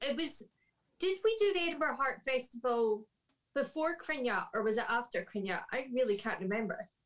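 At a moderate pace, a voice with a Scottish accent moves through very wide pitch swings. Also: woman, high pitch for a woman. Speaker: harpist and harp teacher. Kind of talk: casual interview chat.

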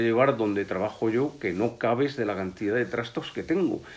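A man with a normal speaking voice and a medium pitch talks at a fairly quick pace on a very clean recording with a silent background. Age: 60s. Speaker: biologist and hunting and fishing journalist. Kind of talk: casual chat.

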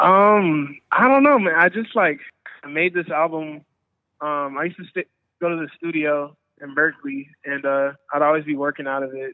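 With an American accent, a man speaks at a moderate pace in a fairly high pitch, showing ordinary pitch variation and big swings in loudness. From Oakland, California. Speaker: musician. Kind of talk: casual interview.

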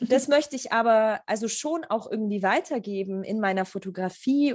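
Against a quiet background, a woman with a fairly high voice speaks at a moderate pace with lively intonation. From Germany, Augsburg area. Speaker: photographer. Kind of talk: interview. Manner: halting with many fillers.

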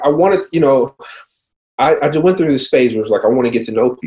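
A man with a fairly high pitch and a dark, mellow tone speaks with ordinary pitch variation. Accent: American. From US Midwest, Cincinnati, Ohio. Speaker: clinical research company CEO. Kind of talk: interview. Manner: halting, many repeated words and fillers.

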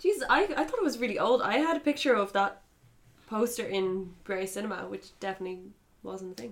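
A woman's ordinary speaking voice, medium in pitch, fairly quick and with lively intonation. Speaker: podcast host. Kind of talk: casual banter.

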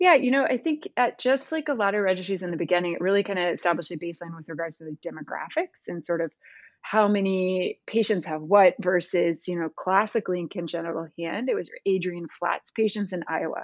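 A woman with an American accent and an unremarkable speaking voice talks at a fairly quick pace with hardly any pauses, medium pitch, ordinary pitch variation and big swings in loudness. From US Midwest, Missouri. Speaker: pediatric hand surgeon. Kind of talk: interview.

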